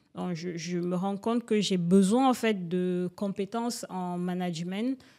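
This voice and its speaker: With a dark, mellow tone, a woman speaks at medium pitch and a fairly slow pace, using ordinary pitch variation. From Cameroon. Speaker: entrepreneur. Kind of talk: interview. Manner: hesitant, many fillers.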